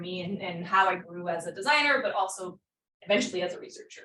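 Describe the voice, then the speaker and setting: A woman with a French Canadian accent talks at a fairly quick pace and medium pitch. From Quebec, Montreal. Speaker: professor. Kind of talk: lecture.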